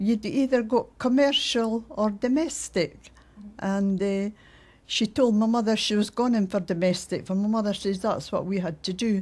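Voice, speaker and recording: Somewhat breathy, a woman with a Scottish accent speaks at a moderate pace in a fairly high pitch with ordinary pitch variation. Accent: Fife Scots. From Scotland, Fife (Lochgelly). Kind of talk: interview testimony.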